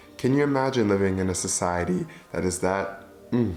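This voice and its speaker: Over music in the background, a man with a very deep, low voice and an American accent speaks at a fairly quick pace with lively intonation. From Michigan, USA. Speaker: vlogger. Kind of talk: casual talk to camera.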